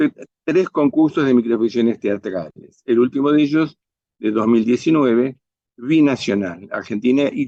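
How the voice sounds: A quiet background sits under a natural reading voice whose pitch varies in an ordinary way.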